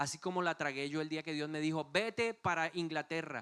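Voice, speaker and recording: Delivered at a moderate pace, the voice sounds animated, bright and sharp, with a dry, close sound free of echo on a very clean recording with a silent background. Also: man. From Colombia, Bogotá. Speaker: pastor. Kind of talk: sermon.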